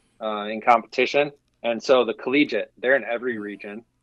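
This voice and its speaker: With an American accent, a man of medium pitch speaks in fairly even intonation, the sound dry and close with no echo. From US Midwest, Wisconsin. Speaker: water sports executive. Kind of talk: interview.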